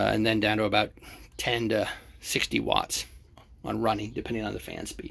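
A man's voice with vocal fry at a moderate pace. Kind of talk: tutorial. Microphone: phone near.

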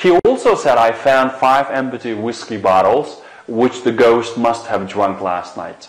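Fairly slow pace with ordinary pitch variation and audible room echo. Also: man. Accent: Xinjiang. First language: Uyghur. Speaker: English language teacher. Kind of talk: lecture. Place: studio.

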